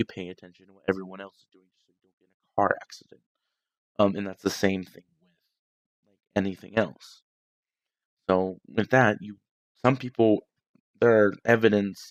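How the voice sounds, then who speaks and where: A quiet man talks at a moderate pace in a fairly low voice, his intonation fairly even but his loudness swinging widely. The sound is dry and close with no echo, broken by long, frequent pauses. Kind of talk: casual political talk livestream. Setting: at home, night. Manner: quiet, hushed.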